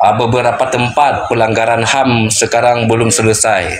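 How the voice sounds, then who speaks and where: A man at medium pitch with an Aceh accent, fairly slow in pace, against noticeable background noise. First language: Acehnese (speaking Indonesian). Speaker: Acehnese independence supporter, participant. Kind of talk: group discussion, political appeal. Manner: halting, many fillers.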